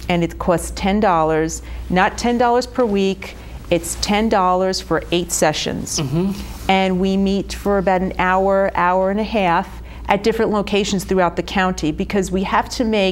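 A woman speaks at a moderate pace with very even loudness. Light background noise can be heard. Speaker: guest. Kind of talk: interview answer. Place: studio.

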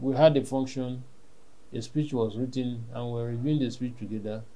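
A man's voice with a dark, mellow tone. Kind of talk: interview answer. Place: home room.

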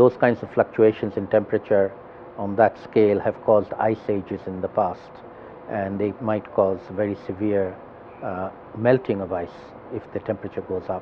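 A man's fairly low, monotone, flat voice over noticeable background noise. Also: moderate pace. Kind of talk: interview answer. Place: bar.

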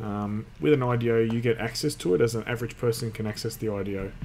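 Fairly quick delivery with fairly even intonation and light background noise. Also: man. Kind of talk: tutorial. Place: home room. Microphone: webcam.

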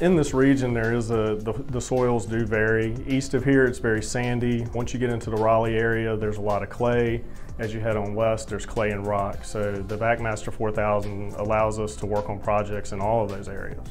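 A man talks at a fairly quick clip with hardly any pauses. His intonation stays fairly even, and faint music plays behind him. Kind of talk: interview answer. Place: office. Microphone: lapel.

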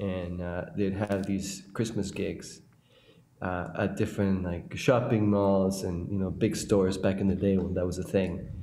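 With audible room echo and light background noise, a man speaks at a fairly slow pace with a fairly low pitch, a dark, mellow tone and fairly even intonation. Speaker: orchestral clarinetist. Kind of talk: casual chat. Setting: video call. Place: home room.

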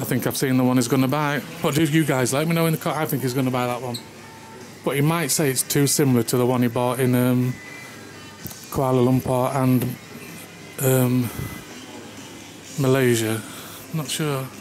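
A man at a moderate pace, monotone and flat, with long, frequent pauses and faint music in the background. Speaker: travel vlogger. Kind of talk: casual vlog chat. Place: shop. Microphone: phone near.

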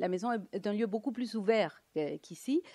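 A woman with a Latin American Spanish accent speaks at a moderate pace against a quiet background. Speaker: economist and lecturer; lecturer. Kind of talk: conference talk. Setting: conference with audience. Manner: halting, many hesitations. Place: hall. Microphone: podium.

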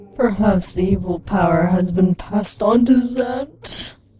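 A female-sounding put-on character voice at medium pitch moves along at a fairly slow pace. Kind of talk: comic overacting. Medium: game stream. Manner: mystic, hushed.

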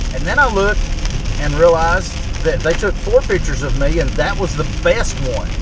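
The sound is dry with no echo. Loud noise fills the background. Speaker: teacher, vlogger driving. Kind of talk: casual vlog chat. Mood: wry, self-deprecating. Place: car. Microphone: camera far.

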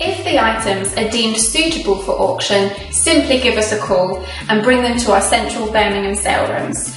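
A woman with a fairly high pitch talks at a moderate pace with lively intonation and hardly any pauses, with audible room echo and faint music in the background. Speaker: auction house presenter. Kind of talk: charity promotional video presentation. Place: studio.

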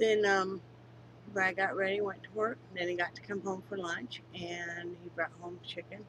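At a moderate pace, a woman talks over light background noise in a dry sound with no echo. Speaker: crafter vlogger. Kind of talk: casual vlog chat. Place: home room. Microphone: webcam.

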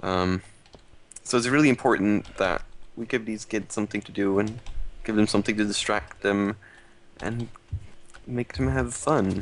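At a moderate pace, a man with a fairly low pitch and ordinary pitch variation speaks with long, frequent pauses in a dry, echo-free sound. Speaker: charity stream host. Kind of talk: casual live-stream chat. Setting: live stream. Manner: playful. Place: home room.

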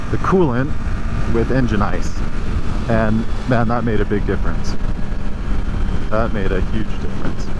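The speech moves at a moderate pace. The sound is dry with no echo, under loud background noise. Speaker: motorcycle rider reviewer. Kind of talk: casual ride review chat. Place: motorbike. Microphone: helmet.

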